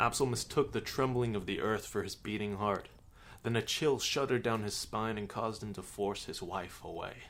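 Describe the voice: What you hear is plain reading aloud.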